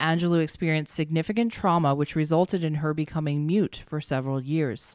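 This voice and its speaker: Captured on a very clean recording with a silent background, a woman speaks at a very deep, low pitch. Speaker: podcast host and life coach. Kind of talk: scripted monologue.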